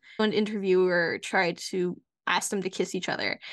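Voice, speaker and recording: Her tone is bright and sharp, and she has an American accent. The woman talks at a fairly slow pace against a quiet background. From United States. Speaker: podcast co-host and university researcher. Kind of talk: casual chat.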